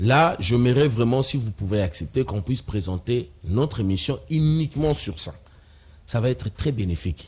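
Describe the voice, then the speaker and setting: Somewhat breathy, a man at medium pitch talks at a moderate pace with very wide pitch swings. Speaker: debater on religion. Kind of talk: TV talk show debate.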